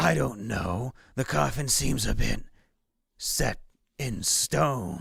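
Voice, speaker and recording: A man's raspy put-on character voice, very deep and low, with very wide pitch swings, a very slow pace and long, frequent pauses. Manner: laid-back.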